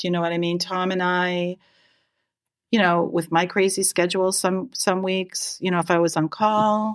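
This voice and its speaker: The recording is very clean, with a silent background. A woman with an American accent speaks at a moderate pace and medium pitch, her intonation flat and monotone. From Massachusetts (Natick). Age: 60s. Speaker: nurse, firefighter's wife. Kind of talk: casual interview.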